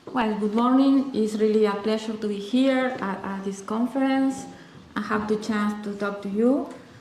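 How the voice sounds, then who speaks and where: With a Uruguayan accent, a woman talks at a moderate pace, her fairly high pitch following fairly even intonation. Audible room echo and noticeable background noise fill the recording. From Uruguay, Montevideo. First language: Spanish. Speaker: astronomer, university researcher. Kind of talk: conference talk. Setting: conference presentation. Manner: halting, many fillers and restarts.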